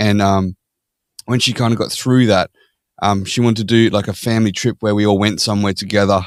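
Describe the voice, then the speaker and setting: On a very clean recording with a silent background, a man speaks in an Australian accent. His fairly low voice moves at a fairly quick pace with fairly even intonation. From Australia (Perth). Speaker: podcast guest. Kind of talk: casual interview chat.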